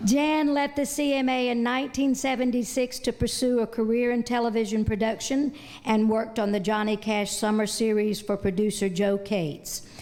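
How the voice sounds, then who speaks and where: A woman speaks at a fairly high pitch and a moderate pace. Her loudness stays very even, with hardly any pauses. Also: ordinary pitch variation. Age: 60s. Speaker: awards presenter. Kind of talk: award presentation speech. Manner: halting.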